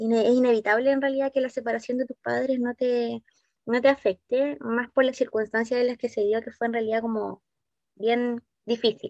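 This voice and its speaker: A woman speaks at a moderate pace in a high pitch with a Chilean accent and fairly even intonation, the sound dry and close with no echo. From southern Chile (Valdivia). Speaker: psychologist and career consultant. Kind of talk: interview.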